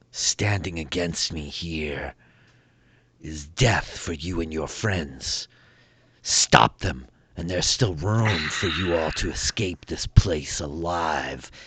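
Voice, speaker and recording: A man puts on a growling character voice. His pitch is very deep and low, and he speaks at a very slow pace. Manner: shrieking, threatening.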